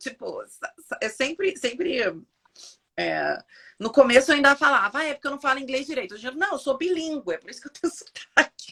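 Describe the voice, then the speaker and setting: Projecting a raised, high-pitched voice at a moderate pace, a woman makes very wide pitch swings and big swings in loudness. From Brazil. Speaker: physiotherapist. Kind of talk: casual interview on a live stream.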